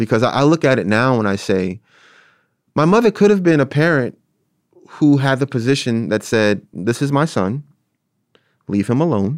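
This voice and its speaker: Lively intonation from a man at a medium pitch, with a Philadelphia accent, a moderate pace, and long, frequent pauses. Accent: Philadelphia American English. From South Philadelphia, US. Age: 30s. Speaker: theater artist and arts educator. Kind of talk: interview about personal story. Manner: halting, many fillers.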